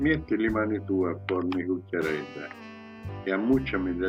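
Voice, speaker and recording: Music plays behind a man with a very deep, low pitch. He talks at a moderate pace with ordinary pitch variation. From Aeolian Islands, Sicily, Italy. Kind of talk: poetry reading.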